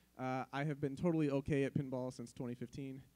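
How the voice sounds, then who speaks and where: Here a man talks at a moderate pace. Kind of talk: conference presentation. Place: hall.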